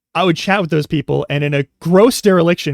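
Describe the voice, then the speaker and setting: With an American accent and a fairly high pitch, a man talks with ordinary pitch variation in a dry, close sound with no echo, on a very clean recording with a silent background. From US West Coast. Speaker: streamer. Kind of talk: casual chat. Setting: live stream. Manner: rambling, self-interrupting.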